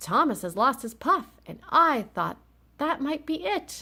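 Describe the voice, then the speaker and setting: A woman's put-on character voice, high in pitch and fairly slow in pace. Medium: read story. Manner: cheerful, eager.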